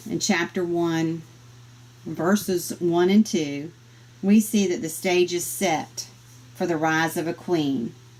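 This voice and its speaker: In a Southern US accent, a woman speaks very slowly at a fairly low pitch with lively intonation. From US South. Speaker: Bible study teacher. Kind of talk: Bible study lesson.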